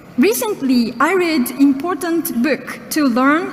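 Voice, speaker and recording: A woman speaks at a high pitch in a Japanese accent. Noticeable background noise runs under her voice. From Japan, Okinawa. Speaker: journalist. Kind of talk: speech. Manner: halting.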